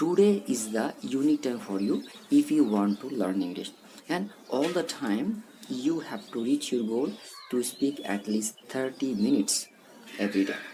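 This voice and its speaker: The pace of the speech is moderate. Noticeable background noise can be heard. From Bangladesh. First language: Bengali. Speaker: English teacher. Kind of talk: motivational talk. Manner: halting.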